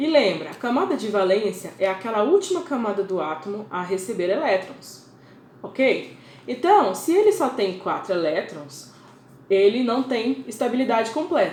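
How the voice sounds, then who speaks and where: With a Brazilian accent, the speaker moves at a moderate pace through very wide pitch swings. Audible room echo and noticeable background noise are present. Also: woman, fairly high pitch for a woman. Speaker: teacher. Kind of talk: lecture.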